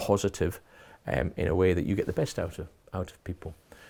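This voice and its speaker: A man with a slight Geordie accent, a very deep, low pitch and a dark, mellow tone, talking at a fairly quick pace in a very clean recording with a silent background. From Newcastle, northern England. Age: 60s. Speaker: college principal. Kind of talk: interview. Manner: hesitant, many fillers.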